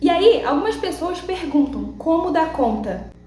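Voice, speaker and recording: A woman's lively intonation, with noticeable background noise and audible room echo. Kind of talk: devotional vlog talk.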